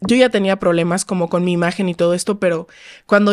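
Speaking at a fairly quick pace, a woman keeps her medium-pitched voice fairly even in intonation. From Mexico, Los Cabos. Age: 20s. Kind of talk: casual chat.

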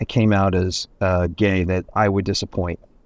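On a very clean recording with a silent background, a man with an unremarkable speaking voice and a fairly low pitch talks at a moderate pace. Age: 50s. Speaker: interior designer and TV personality. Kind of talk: interview conversation.

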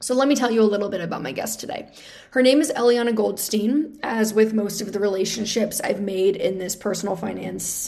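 Her pitch is fairly high and her pace moderate. There is audible room echo around this woman's voice. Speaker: podcast host. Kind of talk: podcast intro monologue. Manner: casual, chatty.

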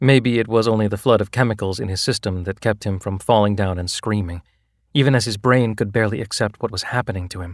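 With ordinary pitch variation, a natural voice reads aloud as the background remains quiet.

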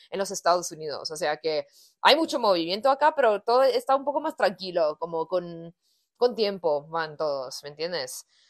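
The sound is dry and close with no echo, and the background is quiet. A woman at a medium pitch talks at a moderate pace with very wide pitch swings. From United States. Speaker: punk band musician. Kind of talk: casual interview.

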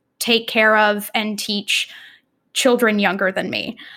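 A plain, everyday voice with an American accent and fairly even intonation, in a very clean recording with a silent background. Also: woman. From Texas, Austin. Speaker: performing artist and teaching artist. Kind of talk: casual interview.

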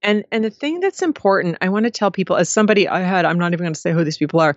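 A woman's voice at a medium pitch. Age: 50s. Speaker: advice columnist and author. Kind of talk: interview.

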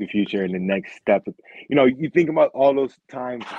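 A man talks at a moderate pace with ordinary pitch variation in an ordinary speaking voice. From Rochester, New York. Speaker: former football player. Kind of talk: casual interview.

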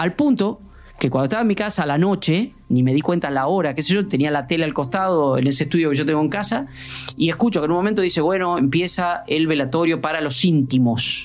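With music in the background, a man with a fairly high pitch speaks very fast, his loudness very even and his pitch variation ordinary. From Argentina (Puan, Buenos Aires province). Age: 50s. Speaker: sports journalist. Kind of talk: interview.

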